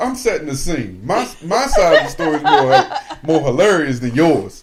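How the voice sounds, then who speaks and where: Loud and animated, a man talks at a moderate pace over noticeable background noise. His high voice swings very widely in pitch. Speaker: podcast co-host. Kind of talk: casual chat.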